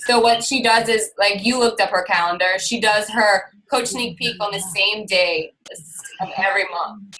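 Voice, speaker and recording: Here is a plain, everyday voice. The woman talks at a moderate pace. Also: fairly high pitch for a woman, fairly even intonation. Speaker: fitness coach. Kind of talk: team call presentation.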